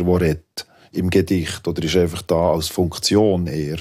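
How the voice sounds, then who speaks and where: This man has a very deep, low pitch and a Swiss accent. His intonation stays monotone and flat. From Switzerland. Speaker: poet and rapper. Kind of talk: radio panel discussion.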